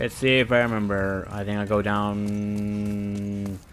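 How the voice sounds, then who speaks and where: A man speaks with a fairly low pitch. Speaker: gaming streamer. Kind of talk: live game commentary. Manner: off-the-cuff rambling.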